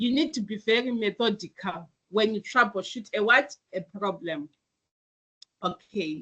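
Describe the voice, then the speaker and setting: Pausing long and often, a woman speaks at a moderate pace with a fairly high pitch and a bright, sharp tone. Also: ordinary pitch variation. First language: not English. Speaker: IT teacher. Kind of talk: online class lecture. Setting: online video class. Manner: hesitant, with fillers and restarts.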